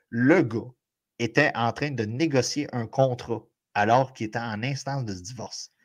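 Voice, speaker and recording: A man with a Quebec accent, medium in pitch, at a moderate pace with ordinary pitch variation, on a very clean recording with a silent background. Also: big swings in loudness. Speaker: sports podcast co-host. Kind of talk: casual podcast chat. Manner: animated.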